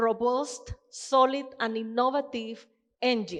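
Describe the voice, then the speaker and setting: Against a quiet background, a woman talks fairly slowly in a high voice. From Colombia. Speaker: financial crime solutions leader. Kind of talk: conference presentation.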